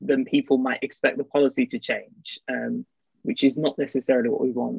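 A man with an English accent at a fairly quick pace, dry sound with no echo, quiet background. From England. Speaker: seminar host. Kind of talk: seminar moderation. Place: home room. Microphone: earbuds.

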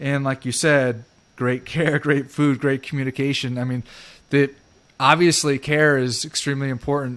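This is a man speaking. His pitch sits fairly high for a man. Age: 50s. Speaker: podcast host, real estate investor; podcast host. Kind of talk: casual interview. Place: home room. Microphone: studio mic.

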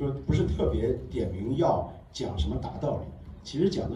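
Through noticeable background noise, a man with a fairly low pitch speaks with very wide pitch swings. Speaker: film director. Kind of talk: Q&A at film premiere. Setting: stage with audience. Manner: halting.

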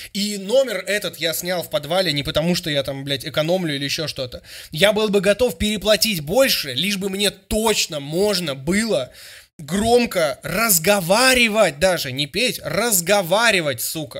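A loud, high-pitched man's voice, bright and sharp in tone, at a moderate pace over a quiet background. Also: lively intonation. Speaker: streamer and music critic; streamer. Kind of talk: reaction stream commentary. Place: home room. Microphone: studio mic.

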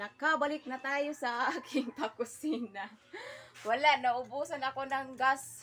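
Amid noticeable background noise, a woman with a high pitch talks at a fairly slow pace and with fairly even intonation. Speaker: vlogger. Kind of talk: casual cooking vlog.

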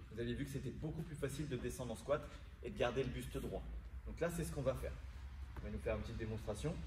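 A man speaks very fast while noticeable background noise runs behind him. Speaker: fitness coach. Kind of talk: tutorial. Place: gym. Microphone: camera far.

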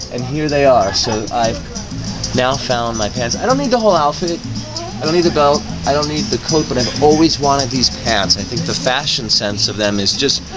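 A man talks at a moderate pace while clear music sounds in the background. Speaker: reporter. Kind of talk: casual vlog chat. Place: shop.

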